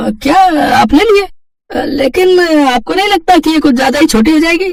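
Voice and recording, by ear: In a cartoonish character voice, a man speaks at a moderate pace with an extremely high pitch, lively intonation and vocal fry.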